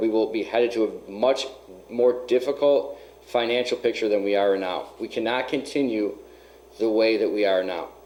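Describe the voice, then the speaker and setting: Using an ordinary speaking voice, a man talks at a moderate pace with fairly even intonation. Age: 30s. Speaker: mayoral candidate. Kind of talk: radio call-in discussion.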